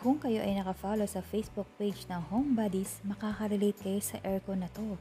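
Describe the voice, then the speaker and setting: A woman's somewhat breathy voice with a dark, mellow tone over light background noise. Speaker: vlogger showing store products. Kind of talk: casual vlog product walkthrough. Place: shop. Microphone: phone near.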